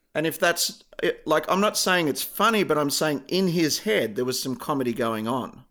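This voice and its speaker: In an Australian accent, a man with a fairly high pitch and a bright, sharp tone speaks with lively intonation. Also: moderate pace. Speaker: podcast co-host. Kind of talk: casual chat.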